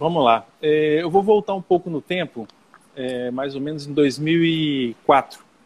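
A man speaks at a fairly high pitch. His pace is very slow. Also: ordinary pitch variation. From Brazil, Brasília. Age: 40s. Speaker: recruitment and selection specialist. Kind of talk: interview on live stream. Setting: Instagram live video.

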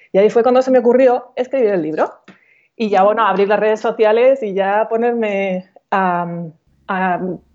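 A woman speaks at a fairly high pitch with ordinary pitch variation. It is an unremarkable speaking voice. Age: 40s. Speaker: coach and author. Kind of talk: casual interview.

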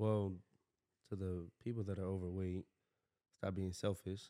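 In a very clean recording with a silent background, a man's very deep, low voice has a dark, mellow tone and monotone, flat intonation. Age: 20s. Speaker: host's younger brother, former football player. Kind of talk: casual chat.

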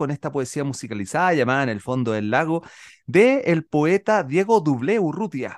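A man speaks at a moderate pace in an animated tone. His pitch swings very widely. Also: dry, close sound with no echo, quiet background. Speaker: children's radio host and musician. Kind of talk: casual radio chat.

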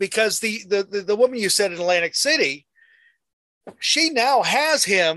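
Against a quiet background, a man projects a raised voice at a moderate pace, his pitch swinging very widely. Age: 50s. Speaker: interview show host. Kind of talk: interview. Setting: video call from a closet. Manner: halting, repeats words.

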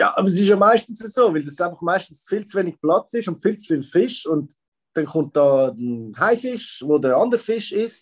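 At a moderate pace, a man with a high voice speaks with very wide pitch swings. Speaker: podcast co-host. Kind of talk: casual chat.

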